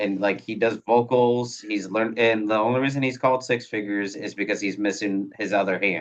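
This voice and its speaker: A man with an American accent and an ordinary speaking voice talks at a fairly quick pace and a fairly low pitch, with fairly even intonation and hardly any pauses. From Iowa, US Midwest. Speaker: podcast host. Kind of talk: casual interview chat. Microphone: phone mics.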